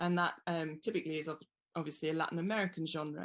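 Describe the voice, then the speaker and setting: Fairly even intonation from a woman with a fairly low voice. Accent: British. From England. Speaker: wine writer. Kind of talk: interview.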